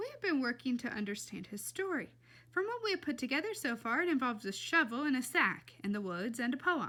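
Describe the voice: Putting on a character voice, a woman speaks at a high pitch and fairly quick pace, her tone bright and sharp with big pitch swings.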